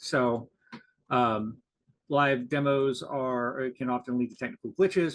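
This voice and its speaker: A man with a plain, everyday voice talks at medium pitch and a fairly slow pace. His intonation stays fairly even. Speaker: conference presenter. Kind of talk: conference presentation. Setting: video call.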